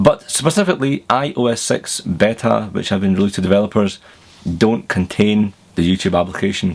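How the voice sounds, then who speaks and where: Speaking fairly quickly in a Glaswegian accent, a man uses a fairly low pitch with ordinary variation. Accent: Glaswegian Scottish. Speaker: tech reviewer. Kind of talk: tech news vlog. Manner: casual, chatty.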